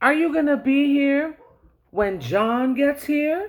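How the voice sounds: A put-on character voice rings high and shrill. It moves at a fairly slow pace.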